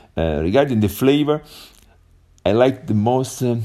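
A man with an Italian accent speaks in a dark, mellow tone with lively intonation. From Italy. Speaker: English learner. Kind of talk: voice message. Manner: halting.

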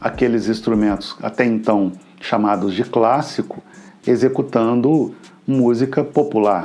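A man's dark, mellow tone at medium pitch and a fairly slow pace. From Brazil, Minas Gerais (Juiz de Fora). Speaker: violinist and music group director. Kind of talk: interview. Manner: halting, with fillers and repetitions.

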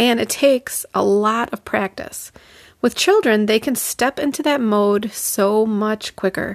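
A woman with a plain, everyday voice speaks at a fairly high pitch and a fairly slow pace with ordinary pitch variation, the sound dry and close with no echo. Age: 40s. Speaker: artist and art teacher, podcast host. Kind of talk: solo podcast monologue.

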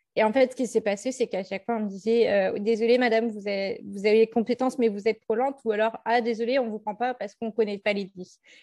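A woman speaks very fast at a fairly high pitch, her dark, mellow tone and monotone, flat intonation captured in a dry, close sound with no echo. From Centre-Val de Loire, France. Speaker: public speaker on learning disorders. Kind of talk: interview testimony. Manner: halting, many fillers.

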